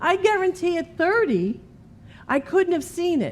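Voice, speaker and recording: The woman speaks at a fairly slow pace. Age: 50s. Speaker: minister. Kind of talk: sermon. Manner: conversational.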